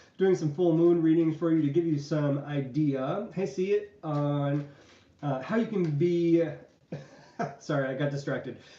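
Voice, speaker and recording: A man with a fairly high pitch and a dark, mellow tone talks at a fairly slow pace. His pitch variation is ordinary, and room echo is audible. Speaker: tarot reader. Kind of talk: tarot reading livestream. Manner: casual, chatty.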